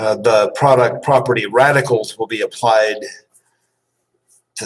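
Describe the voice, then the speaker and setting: A man talks at a fairly slow pace in a plain, everyday voice with a medium pitch. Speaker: math instructor. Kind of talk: lecture.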